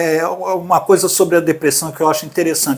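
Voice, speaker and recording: A man at a fairly quick pace. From Brazil, Minas Gerais (Belo Horizonte). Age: 60s. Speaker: artist sharing his mental health story. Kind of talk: podcast interview, personal testimony.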